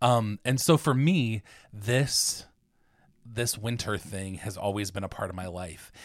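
A man with a plain, everyday voice and an American accent, fairly low in pitch, at a fairly slow pace with big swings in loudness, on a very clean recording with a silent background. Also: ordinary pitch variation. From Ohio. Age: 30s. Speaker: podcast co-host. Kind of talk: casual chat.

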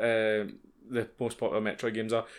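A man with a Scottish accent speaks at a fairly quick pace on a very clean recording with a silent background. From Scotland. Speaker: podcast co-host. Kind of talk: casual chat.

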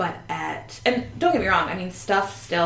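With noticeable background noise behind her, a woman speaks at a moderate pace in an American accent. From Northern Virginia, US. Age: 30s. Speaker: therapist and social worker. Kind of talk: casual chat.

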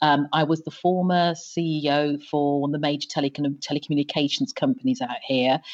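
A woman with a slight British accent speaks at a fairly quick pace with hardly any pauses, her very deep, low pitch held in fairly even intonation. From England. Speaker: former telecom executive. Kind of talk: podcast interview.

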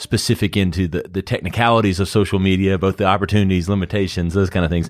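A man's very deep, low-pitched voice. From South Carolina, US South. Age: 40s. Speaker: ad agency founder. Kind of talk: casual interview.

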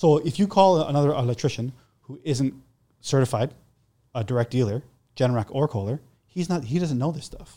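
On a very clean recording with a silent background, a man speaks fairly quickly in a dark, mellow tone. His loudness swings widely, and he takes long, frequent pauses. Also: ordinary pitch variation. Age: 40s. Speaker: electrician and generator installer. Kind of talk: casual chat.

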